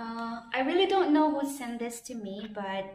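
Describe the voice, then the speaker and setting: With a Filipino accent, a woman speaks at a fairly high pitch amid audible room echo. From Philippines. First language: Filipino language. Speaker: vlogger. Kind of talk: casual vlog, unboxing and tutorial. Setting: outdoors, recording herself on camera. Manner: halting, with fillers and repetitions. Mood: warm, grateful. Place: empty room. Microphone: phone near.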